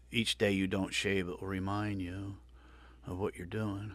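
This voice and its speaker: At a moderate pace, a man with an American accent speaks at a fairly low pitch with fairly even intonation on a very clean recording with a silent background. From New Jersey. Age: 60s. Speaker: podcast host. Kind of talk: casual interview chat.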